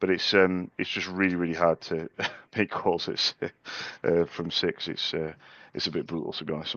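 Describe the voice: This put-on character voice is hoarse and croaky. It moves at a moderate pace. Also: man, very deep, low pitch for a man.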